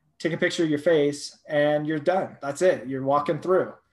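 A normal speaking voice from a man with an American accent, fairly high-pitched, with ordinary pitch variation. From California, Thousand Oaks. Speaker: startup founder. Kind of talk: interview.

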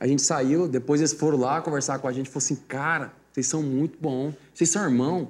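A man with a plain, everyday voice talks at a fairly quick pace in a fairly high pitch, his intonation fairly even, on a very clean recording with a silent background. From Mato Grosso do Sul, Brazil. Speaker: sertanejo singer. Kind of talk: casual interview.

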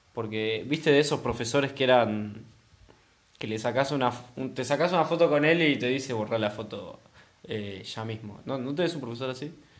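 Speaking at a moderate pace, a man with a Rioplatense accent uses a medium pitch and ordinary pitch variation. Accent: Argentine Rioplatense Spanish. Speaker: podcast co-host. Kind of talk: casual chat.

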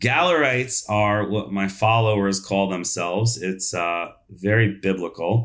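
A man with an American accent talks in a plain, everyday voice, pitched fairly low with ordinary pitch variation. His pace is fairly slow, and the recording is very clean with a silent background. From New York. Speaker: dentist and speaker. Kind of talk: interview.

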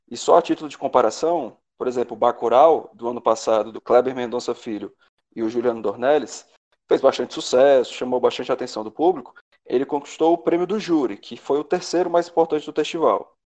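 A man with an unremarkable speaking voice talks at a fairly quick pace in a fairly high pitch, with ordinary pitch variation and big swings in loudness. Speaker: surgeon, film enthusiast. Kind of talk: casual chat.

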